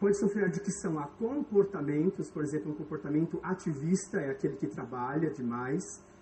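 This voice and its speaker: Lively intonation comes through at a moderate pace against noticeable background noise. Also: man. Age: 30s. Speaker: pastor. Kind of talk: sermon.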